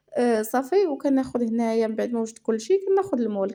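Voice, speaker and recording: In a Moroccan accent, a woman speaks with a fairly high pitch and a dark, mellow tone on a very clean recording with a silent background. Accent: Moroccan Arabic (Darija). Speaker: cooking channel host. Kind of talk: cooking tutorial. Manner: casual, with many fillers.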